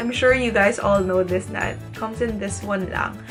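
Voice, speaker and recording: A woman talks at a moderate pace with music in the background. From Philippines. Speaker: beauty vlogger. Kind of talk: casual talk to camera. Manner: chatty, code-switching English and Tagalog.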